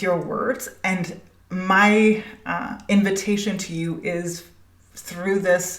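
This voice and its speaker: Amid audible room echo and noticeable background noise, a woman speaks at a medium pitch with ordinary pitch variation. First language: Danish. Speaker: spiritual business coach, podcast host. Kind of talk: podcast monologue. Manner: halting, many fillers.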